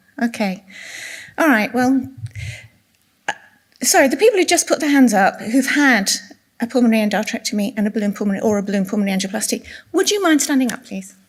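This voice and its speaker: Soft-spoken and fairly high-pitched, a woman with an English accent talks at a very fast pace with lively intonation and long, frequent pauses. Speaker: clinical nurse specialist giving a talk. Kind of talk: presentation to patient audience. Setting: room with live audience.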